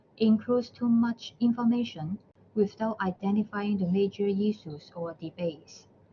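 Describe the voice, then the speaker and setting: Somewhat breathy, a woman of medium pitch speaks at a moderate pace with ordinary pitch variation. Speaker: university librarian presenter. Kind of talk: webinar presentation. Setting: online webinar.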